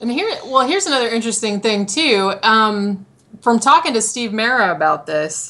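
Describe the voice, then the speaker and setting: A woman with an unremarkable speaking voice, lively intonation and a moderate pace. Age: 40s. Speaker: horror writer and graphic designer. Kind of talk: casual interview.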